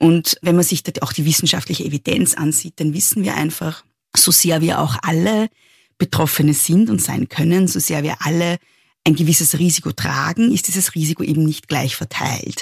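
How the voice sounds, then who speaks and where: Speaking in an Austrian accent, a woman has a very deep, low, somewhat breathy voice with ordinary pitch variation. She talks at a moderate pace, and the sound is dry and close with no echo. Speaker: feminist author. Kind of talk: interview.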